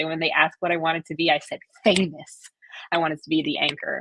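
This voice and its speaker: A woman's fairly low, animated voice with a Hawaiian accent, dry and close with no echo. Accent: Hawaiian American. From Hawaii, Oahu. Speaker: media advisor, former influencer. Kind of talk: interview.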